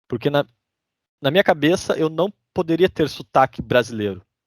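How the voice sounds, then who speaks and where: A man with a fairly high pitch speaks at a moderate pace with ordinary pitch variation, in a southern Brazilian accent. The recording is very clean with a silent background and a dry, close sound with no echo. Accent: southern Brazilian (gaúcho) Portuguese. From Brazil, interior of Rio Grande do Sul. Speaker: immigrant sharing his story. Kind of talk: casual podcast interview.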